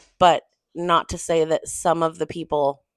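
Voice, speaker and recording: A woman's very deep, low voice, dry and close with no echo. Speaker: book reviewer / booktuber. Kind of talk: casual book review monologue. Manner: conversational, rambling pace.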